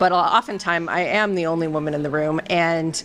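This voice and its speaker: With music in the background, a woman speaks fairly quickly in a fairly low voice, keeping her intonation fairly even. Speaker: consumer insights leader. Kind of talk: interview.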